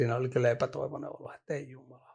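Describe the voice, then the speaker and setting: Over a quiet background, a man speaks at a fairly quick pace with vocal fry. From Finland, Vantaa (Hakunila). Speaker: professional poker player. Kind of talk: interview. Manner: halting, many fillers.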